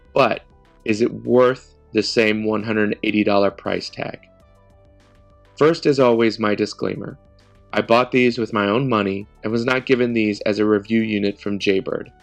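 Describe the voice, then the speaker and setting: Music plays behind a man who speaks at a moderate pace, his fairly low voice held to fairly even intonation. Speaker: tech reviewer. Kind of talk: product review talk to camera.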